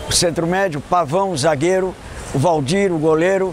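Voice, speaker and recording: A man speaks in a high voice with ordinary pitch variation. Noticeable noise sits in the background. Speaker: former footballer. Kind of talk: testimony.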